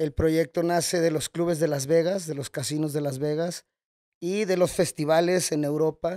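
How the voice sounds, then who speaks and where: A man's dark, mellow tone at a moderate pace, monotone and flat in intonation, with a dry, close sound and no echo. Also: fairly high pitch for a man, very clean recording, silent background. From Mexico, Guadalajara (Jalisco). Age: 30s. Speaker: nightclub owner. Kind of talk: casual interview. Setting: at the nightclub venue.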